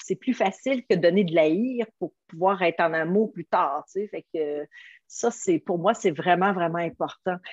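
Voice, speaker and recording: A woman with a Quebec accent talks at a fairly slow pace, with ordinary pitch variation. The sound is dry and close, without echo. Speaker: motivational coach, nutrition product seller. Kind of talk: interview. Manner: animated.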